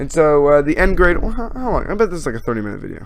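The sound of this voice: Very fast and fairly high-pitched, a man speaks with big pitch swings and vocal fry.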